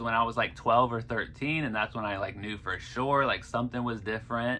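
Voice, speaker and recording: This man has a Midwestern American accent and a medium pitch. His tone is bright and sharp, with ordinary pitch variation. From US Midwest, Columbus, Ohio. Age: 30s. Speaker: vlogger. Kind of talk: personal testimony. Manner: casual, filler-heavy.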